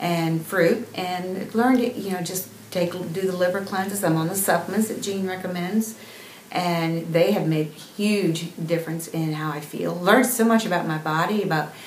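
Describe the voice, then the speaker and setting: A woman speaks at a medium pitch and moderate pace with fairly even intonation. Audible room echo and noticeable background noise surround her voice. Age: 60s. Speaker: patient giving a testimonial. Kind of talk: testimony. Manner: halting, with many fillers.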